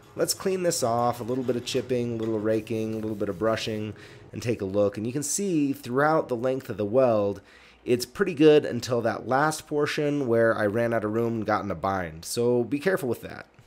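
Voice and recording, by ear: At a fairly quick pace, a man speaks in a slightly mellow tone with ordinary pitch variation. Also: medium pitch for a man.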